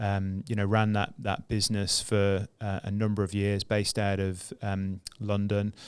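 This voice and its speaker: A man with a British accent, fairly low-pitched and flat in a monotone, at a fairly slow pace with hardly any pauses, in a very clean recording over a silent background. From UK. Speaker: entrepreneur. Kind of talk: casual interview chat. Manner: hesitant, many fillers.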